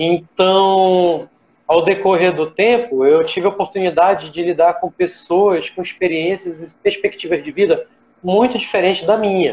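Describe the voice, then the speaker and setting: A man's high voice at a fairly slow pace, with fairly even intonation. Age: 20s. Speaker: chef and gastronomy professor. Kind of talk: live online interview. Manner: casual, conversational.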